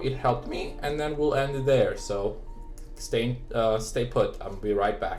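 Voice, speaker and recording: Music plays in the background as a man talks. The room echo is audible. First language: not English. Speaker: tech reviewer. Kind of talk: product review. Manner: halting, many fillers.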